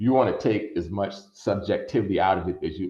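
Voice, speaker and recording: Room echo is audible around the speaker. A man talks in a somewhat breathy voice. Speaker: attorney and workshop presenter. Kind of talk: online workshop lecture. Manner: fast.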